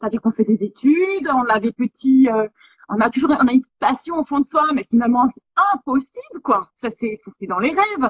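A woman with a high pitch, lively intonation and an animated tone, at a moderate pace, with big swings in loudness. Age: 30s. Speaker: photographer. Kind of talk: interview. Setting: live stream.

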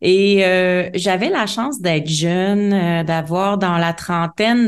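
A woman's medium-pitched voice with a Quebec accent, very slow and fairly even in intonation, with audible room echo. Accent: Québécois French. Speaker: life coach. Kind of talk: interview.

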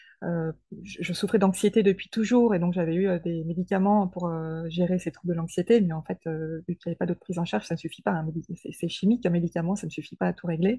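Speaking at a very fast pace, a woman has a somewhat breathy, dark, mellow tone at a fairly low pitch with ordinary pitch variation and a dry, close sound with no echo. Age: 40s. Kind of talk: interview testimony. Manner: hesitant, with fillers and repetitions.

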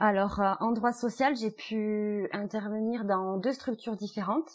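Her pitch is fairly high and her intonation fairly even. This woman speaks at a fairly slow pace. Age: 30s. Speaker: family mediator. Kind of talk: interview. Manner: thoughtful, with hesitations.

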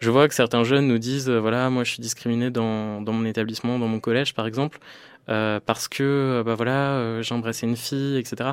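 A man's medium-pitched voice in a monotone, flat intonation at a moderate pace, on a very clean recording with a silent background. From rural northern France (Picardy/Normandy). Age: 20s. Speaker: LGBT activist. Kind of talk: interview testimony. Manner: halting, many hesitations.

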